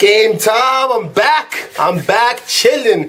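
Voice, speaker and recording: Through noticeable background noise, a man's extremely high voice swings very widely in pitch. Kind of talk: casual rant to camera. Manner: fast-talking.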